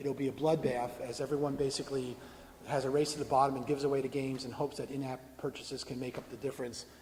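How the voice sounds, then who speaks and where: Somewhat breathy and at a very fast pace, a man speaks at a medium pitch with monotone, flat intonation, and audible room echo surrounds him. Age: 60s. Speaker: video game industry veteran giving a talk. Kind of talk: conference talk; audience Q&A answer.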